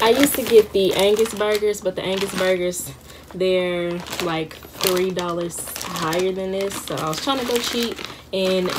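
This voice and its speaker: A woman's fairly slow voice over noticeable background noise. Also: ordinary pitch variation. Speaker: college vlogger. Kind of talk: casual vlog chat. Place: home room. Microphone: phone near.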